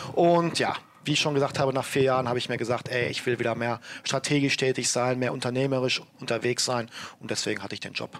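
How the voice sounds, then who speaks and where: This man's voice is medium in pitch, with fairly even intonation. He talks very fast. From Germany, Ruhr area (Bochum). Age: 30s. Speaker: entrepreneur. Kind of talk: interview.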